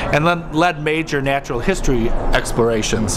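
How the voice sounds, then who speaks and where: Fairly quick speech from a man over noticeable background noise. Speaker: historic site guide. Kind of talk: interview answer.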